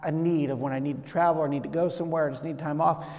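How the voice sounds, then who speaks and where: A man speaks here. His intonation stays fairly even. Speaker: pastor. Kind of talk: sermon. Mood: warm, grateful. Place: church.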